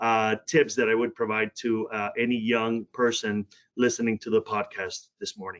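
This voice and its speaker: A man speaks with a Spanish accent at a moderate pace. His pitch is medium and his intonation fairly even. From Puerto Rico, then Cleveland, Ohio from age 13. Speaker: healthcare diversity executive. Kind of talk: podcast interview.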